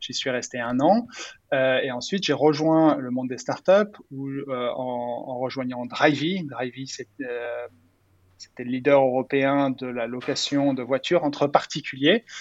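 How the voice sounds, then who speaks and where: This man's voice sits at a medium pitch with ordinary pitch variation, big swings in loudness, and a fairly slow pace. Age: 30s. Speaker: startup founder and CEO. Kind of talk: interview. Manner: halting, many repetitions and fillers.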